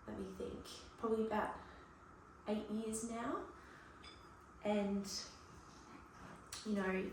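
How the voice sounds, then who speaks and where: A soft-spoken woman with an Australian accent talks at a fairly high pitch, very slowly, in a monotone, flat delivery with long, frequent pauses. Audible room echo and noticeable background noise fill the recording. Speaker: cooking vlogger. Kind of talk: casual vlog talk. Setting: home kitchen.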